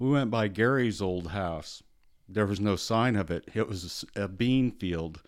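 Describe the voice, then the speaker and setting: On a very clean recording with a silent background, a man with an American accent speaks in a plain, everyday voice, fairly low in pitch with ordinary variation, at a moderate pace. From US Midwest. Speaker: retiree who grew up farming. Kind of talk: casual chat. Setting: studio.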